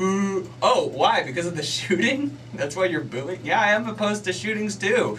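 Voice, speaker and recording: Amid noticeable background noise and audible room echo, a man with a high pitch talks at a moderate pace, with very wide pitch swings and hardly any pauses. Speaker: stand-up comedian. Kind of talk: casual radio interview. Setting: radio studio. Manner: loud; animated.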